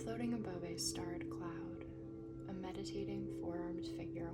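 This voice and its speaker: Music plays behind speech delivered at a moderate speed. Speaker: tarot reader. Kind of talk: tarot reading. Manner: soft-spoken.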